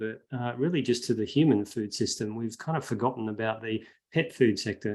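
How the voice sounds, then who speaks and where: A man with an Australian accent, medium pitch, a dark, mellow tone and a moderate pace. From Western Australia, Perth. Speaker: veterinary researcher and animal advocate. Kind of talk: online talk. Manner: hesitant with many fillers.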